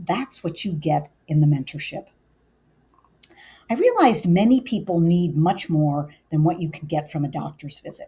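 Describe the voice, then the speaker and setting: A woman's voice sounds dark, mellow, and somewhat breathy. Her speech has long, frequent pauses. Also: fairly low pitch for a woman, ordinary pitch variation, moderate pace. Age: 60s. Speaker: integrative medicine physician. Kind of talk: scripted presentation.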